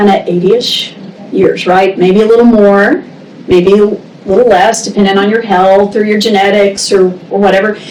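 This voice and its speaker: Noticeable background noise and audible room echo accompany a woman speaking at a medium pitch. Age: 60s. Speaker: state senator. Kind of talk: interview. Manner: halting.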